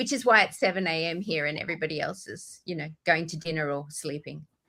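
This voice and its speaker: Talking at a very fast pace, a woman uses a fairly low pitch and a bright, sharp tone with ordinary pitch variation. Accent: Australian. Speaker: author. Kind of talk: podcast interview.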